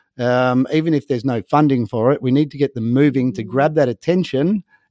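In an Australian accent, a man talks at a fairly quick pace and medium pitch with ordinary pitch variation, the sound dry and close with no echo. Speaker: marine conservation NGO co-founder. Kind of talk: interview.

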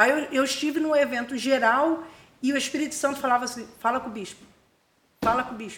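Ordinary pitch variation in a woman's high voice. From Rio de Janeiro state, Brazil (Búzios). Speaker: missionary and theological school director. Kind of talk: testimony.

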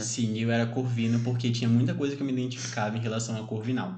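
Amid audible room echo, a man talks at a very fast pace in a somewhat breathy voice. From Brazil, São Bernardo do Campo (São Paulo area). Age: 20s. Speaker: podcast co-host. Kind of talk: casual chat.

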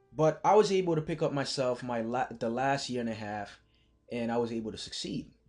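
With music in the background, a man talks at a fairly quick pace at medium pitch, his intonation lively. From Haiti (Port-au-Prince). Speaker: podcast host, college mentor. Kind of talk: motivational monologue.

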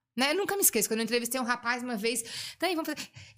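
The recording is very clean, with a silent background. A woman speaks in a high voice with lively intonation. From Blumenau, Santa Catarina, southern Brazil. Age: 40s. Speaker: hospital clown volunteer. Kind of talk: casual interview.

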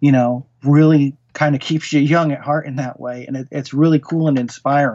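Fairly high in pitch and fairly quick, a man with an American accent and an unremarkable speaking voice talks with fairly even intonation. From US Northeast, Connecticut (Norwalk). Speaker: horror writer. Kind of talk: interview conversation.

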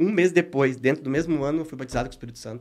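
A man is speaking. His delivery is very fast. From southern Brazil (Paraná, born Rio Grande do Sul). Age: 30s. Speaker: businessman and church speaker. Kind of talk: podcast interview with faith testimony.

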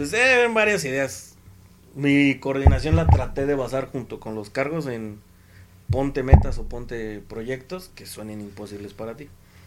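A man with a medium pitch speaks at a fairly slow pace with lively intonation. Noticeable background noise is present. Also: big swings in loudness. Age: 20s. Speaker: former youth scout coordinator. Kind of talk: casual chat.

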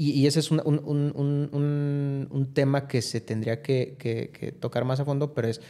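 A man with a fairly high pitch speaks at a fairly slow pace, his intonation fairly even. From Mexico, León (Guanajuato). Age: 30s. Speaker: businessman and philanthropist. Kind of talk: interview conversation. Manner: hesitant, many fillers.

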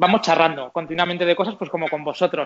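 This man's voice sits at a high pitch. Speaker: podcast host about motorhomes. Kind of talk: casual interview chat.

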